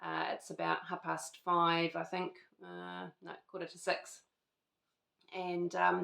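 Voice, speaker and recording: A woman with a New Zealand accent, very slow, with long, frequent pauses and big swings in loudness. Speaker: lifestyle vlogger. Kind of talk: casual chat. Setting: at home. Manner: hesitant, many fillers.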